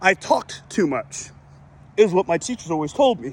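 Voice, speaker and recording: Pitched high, a man talks at a moderate pace. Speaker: finance youtuber. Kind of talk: casual vlog monologue while walking. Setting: outdoors, walking. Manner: sometimes slurs words.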